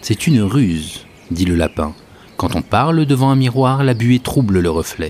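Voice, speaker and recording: At a fairly slow pace, the voice moves through very wide pitch swings in a calm, dramatic tone with very even loudness. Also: man, medium pitch for a man. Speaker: podcast host and storyteller. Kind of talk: bedtime story telling, a Sufi tale read aloud in a hushed, soothing voice; solo podcast with scripted tale narration. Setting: solo recording, podcast. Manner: slow, measured and calm, with dramatic pauses and shifting tones for each animal; gentle, devotional and reverent, almost lulling.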